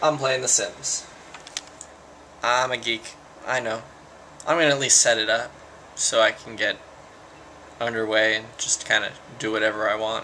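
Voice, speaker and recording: A man of medium pitch speaks at a moderate pace with fairly even intonation and long, frequent pauses. Noticeable background noise runs under his voice. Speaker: vlogger. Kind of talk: casual vlog. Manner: halting, many false starts.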